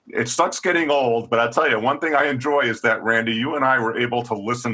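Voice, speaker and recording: A man talks fairly quickly in an ordinary speaking voice, his medium pitch showing ordinary variation. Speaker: podcast co-host, teacher. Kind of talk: casual podcast talk.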